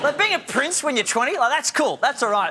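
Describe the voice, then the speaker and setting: A man's extremely high-pitched, raised and projected voice amid noticeable background noise. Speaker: talk show host. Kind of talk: stand-up style TV monologue. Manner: jokey, conversational.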